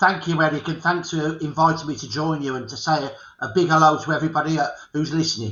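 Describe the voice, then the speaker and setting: Talking at a very fast pace, a man with a fairly high pitch keeps his intonation fairly even while his loudness swings a lot. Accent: Birmingham. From England, Birmingham. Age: 60s. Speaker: historian. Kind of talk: interview.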